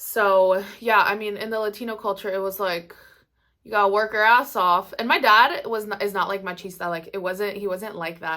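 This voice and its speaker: With a bright, sharp tone, a woman talks in fairly even intonation. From Maryland, US, Mexican family. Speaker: YouTuber, makeup artist. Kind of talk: casual chat. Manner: casual, filler-heavy.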